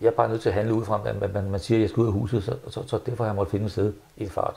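A very fast, monotone, flat delivery from a man, fairly low in pitch, somewhat breathy, with a dark, mellow tone. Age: 70s. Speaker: interviewee. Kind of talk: interview. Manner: halting, many repetitions. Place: home room. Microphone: lapel.

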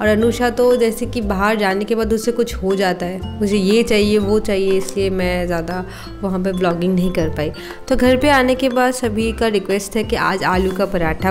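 Clear music plays in the background. The speech moves at a moderate pace with ordinary pitch variation. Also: woman. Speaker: home vlogger. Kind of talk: casual vlog chat. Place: kitchen. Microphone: phone near.

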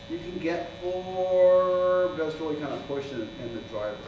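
With noticeable background noise and audible room echo, a man speaks at a moderate pace in a high voice with ordinary pitch variation. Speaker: dive program instructor. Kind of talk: orientation talk to a group. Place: garage. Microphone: camera far.

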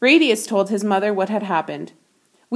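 A natural reading voice with fairly even intonation is heard against a quiet background.

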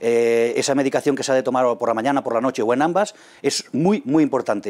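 It is quiet behind the speaker. A man rattles through his words at a very fast pace. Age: 40s. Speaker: kidney transplant patient. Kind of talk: testimony. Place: meeting room. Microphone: lapel.

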